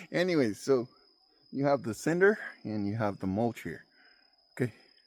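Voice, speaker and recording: The speaker has a non-native accent and a moderate pace. Their pitch swings very widely. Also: man, medium pitch for a man. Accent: non-native English, self-described. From immigrant, foreign-born. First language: not English (fourth language). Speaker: farmer and homesteading vlogger. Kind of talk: outdoor farming tutorial vlog. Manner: casual, halting with fillers.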